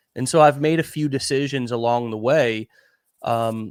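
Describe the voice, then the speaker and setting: Recorded very cleanly with a silent background and a dry, close sound with no echo, a man speaks in a plain, everyday voice at medium pitch and a fairly slow pace. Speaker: online marketing show host. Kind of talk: casual conversational talk.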